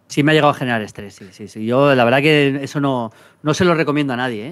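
Against a quiet background, a man talks at a very fast pace with a fairly high pitch and ordinary pitch variation. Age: 50s. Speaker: football pundit. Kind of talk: casual chat. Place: studio. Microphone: studio mic.

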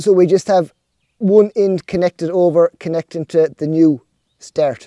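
A man with a high pitch and a dark, mellow tone talks at a fairly slow pace with ordinary pitch variation. The sound is dry with no echo, and the background is quiet. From Ireland. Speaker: snail farmer. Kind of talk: vlog narration. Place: farm machine. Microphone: phone near.

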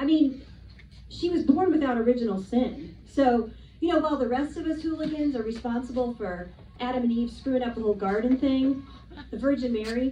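A woman with a high pitch and lively intonation at a fairly quick pace, with audible room echo and light background noise. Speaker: stand-up comic. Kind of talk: stand-up comedy routine. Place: stage.

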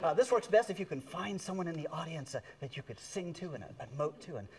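At a very fast pace, a man talks with big swings in loudness. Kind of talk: stage comedy banter with audience. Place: stage. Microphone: lapel.

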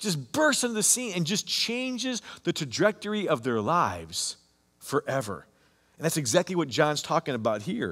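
In a high pitch, a man speaks at a moderate pace with very wide pitch swings. The background is quiet. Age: 50s. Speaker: pastor. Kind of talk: sermon. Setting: online church service recording. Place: church.

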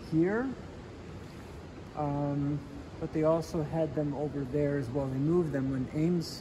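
A fairly slow pace over noticeable background noise. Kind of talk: casual guided walk-through. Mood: nostalgic, reflective. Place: hall. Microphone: phone near.

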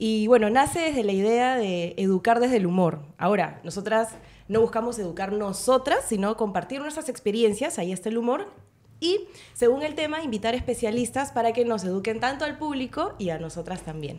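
Lively intonation from a woman at a fairly quick pace. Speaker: podcast guest. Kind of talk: interview answer. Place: studio. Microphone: studio mic.

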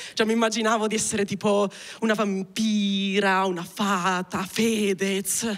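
A woman with monotone, flat intonation and very even loudness. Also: fairly slow pace. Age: 20s. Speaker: stand-up comedian. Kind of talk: stand-up comedy, autobiographical storytelling; stand-up comedy monologue. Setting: stage with audience. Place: stage. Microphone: handheld.

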